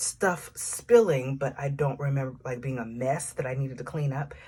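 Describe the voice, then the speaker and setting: A somewhat breathy woman at a moderate pace, with an American accent. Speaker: faith coach and author. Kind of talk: personal dream testimony to camera. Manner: casual, conversational.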